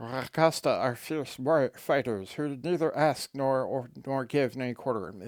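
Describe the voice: Using a hissing, put-on character voice, a man talks at a moderate pace and medium pitch.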